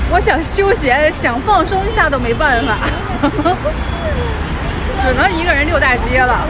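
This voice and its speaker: A woman speaks with music in the background. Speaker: travel vlogger. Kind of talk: casual vlog chat. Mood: cheerful, self-amused. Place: street. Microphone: phone near.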